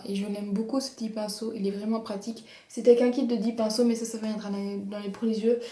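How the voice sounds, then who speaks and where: Fairly high-pitched and monotone, a woman talks at a fairly quick pace over noticeable background noise. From Belgium. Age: 20s. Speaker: beauty vlogger. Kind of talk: casual talk to camera.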